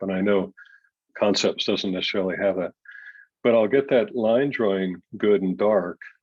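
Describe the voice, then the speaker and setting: Against a quiet background with a dry, close sound and no echo, a man with a plain, everyday voice speaks at a moderate pace in a fairly low pitch, with ordinary pitch variation. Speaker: artist giving a demo to a design class. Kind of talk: software tutorial demo.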